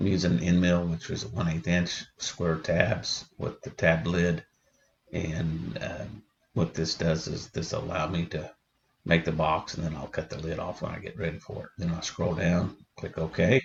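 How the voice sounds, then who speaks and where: A man speaks quietly in a very deep, low pitch. His pace is fairly slow, with ordinary pitch variation. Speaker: woodworking hobbyist. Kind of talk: tutorial.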